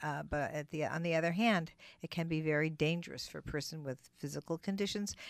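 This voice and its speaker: A woman with an unremarkable speaking voice, fairly low in pitch, talks at a moderate pace with ordinary pitch variation on a very clean recording with a silent background. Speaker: radio co-host. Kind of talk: casual chat. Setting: studio.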